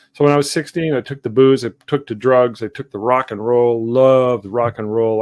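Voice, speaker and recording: In a dry, close sound with no echo and a quiet background, a man with a plain, everyday voice talks at a fairly quick pace with fairly even intonation. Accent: Canadian. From Canada, Sudbury Ontario. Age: 60s. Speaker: artist. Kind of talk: interview. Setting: livestream video call. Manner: reflective, with many fillers.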